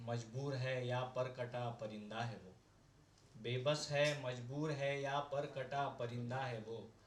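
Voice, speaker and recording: A man keeps his intonation fairly even while noticeable background noise runs behind him. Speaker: poet. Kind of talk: poetry reading. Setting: open mic at a cafe.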